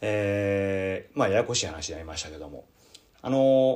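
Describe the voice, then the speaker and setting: Lively intonation runs through this man's speech. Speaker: Buddhist priest and podcast host. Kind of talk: casual radio talk. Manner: relaxed, rambling.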